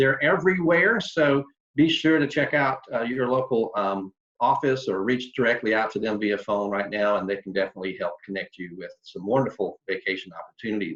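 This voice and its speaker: The speaker talks at a fairly quick pace with lively intonation, in a North Carolina accent. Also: man, medium pitch for a man. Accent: Southern US (North Carolina). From North Carolina, Charlotte area. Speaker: tour company sales representative. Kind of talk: online presentation. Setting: video call.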